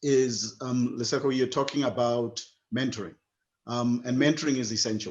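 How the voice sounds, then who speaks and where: With fairly even intonation, the man talks at a medium pitch. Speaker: program founder and webinar host. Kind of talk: closing remarks in online webinar. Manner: fast.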